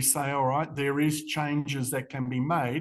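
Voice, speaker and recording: The speaker uses an Australian accent, keeping a moderate pace and fairly even intonation over a quiet background. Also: man. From Western Australia. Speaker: charity CEO. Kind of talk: interview.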